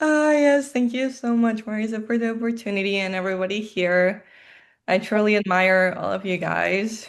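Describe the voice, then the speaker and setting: This woman speaks at a moderate pace in a Colombian accent, her fairly high voice rising and falling in an ordinary way. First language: Spanish. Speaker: life insurance agent. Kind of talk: video call interview.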